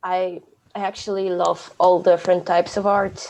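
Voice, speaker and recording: A woman speaks with a Polish accent and a medium pitch. Her pace is fairly slow. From Poland. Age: 20s. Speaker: podcast co-host, aspiring youth worker. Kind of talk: casual chat.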